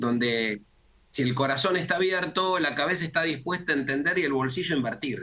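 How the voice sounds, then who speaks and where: Speaking at a fairly quick pace, a man with a Rioplatense accent has a bright, sharp tone. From Argentina. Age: 60s. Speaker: communication consultant. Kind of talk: interview.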